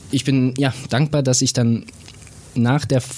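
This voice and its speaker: Noticeable background noise behind a man's medium-pitched voice with fairly even intonation. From Bavarian Swabia (Bobingen near Augsburg). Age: 30s. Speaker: racing driver. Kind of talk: casual interview.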